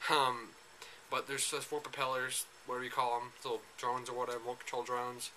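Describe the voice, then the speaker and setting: A man speaks at a medium pitch and a very fast pace, his intonation flat and monotone. Noticeable background noise sits behind him. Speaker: gaming vlogger. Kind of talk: casual vlog monologue. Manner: hesitant, many fillers.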